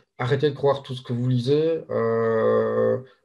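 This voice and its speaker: Speaking with a slight Belgian accent, a man keeps a medium pitch and fairly even intonation. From Belgium. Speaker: SEO link seller. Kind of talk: casual interview chat. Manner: hesitant, many fillers.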